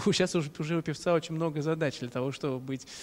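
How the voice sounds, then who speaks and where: Fairly high in pitch, a man talks with fairly even intonation in an ordinary speaking voice. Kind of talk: live interview. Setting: live stream after concert.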